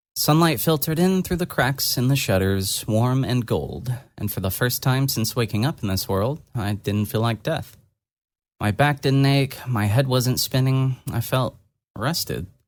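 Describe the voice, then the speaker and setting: A man at medium pitch talks at a fairly slow pace with lively intonation, in a normal speaking voice. The recording is very clean, with a silent background. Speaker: audio drama narrator. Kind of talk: read story narration.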